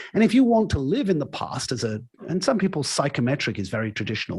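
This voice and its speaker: This man's voice sits fairly high and sounds somewhat breathy. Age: 60s. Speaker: leadership coach. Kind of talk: podcast interview. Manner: hesitant repetitions.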